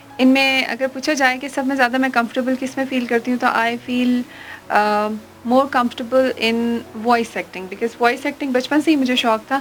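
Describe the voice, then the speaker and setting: The woman's voice is high in pitch and monotone, flat in intonation, with noticeable background noise behind her. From Pakistan. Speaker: voice over artist. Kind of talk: interview answer.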